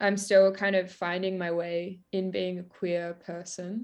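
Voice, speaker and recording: Over a quiet background, a woman with an Australian accent speaks fairly slowly at a medium pitch in a monotone, flat intonation. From Victoria, Australia. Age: 20s. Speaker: singer-songwriter. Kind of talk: casual interview.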